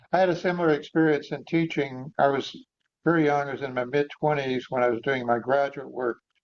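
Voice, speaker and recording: Here is a man with a plain, everyday voice, pitched fairly high. He moves at a fairly quick pace with fairly even intonation. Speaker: Zen teacher and interviewer. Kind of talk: interview questions.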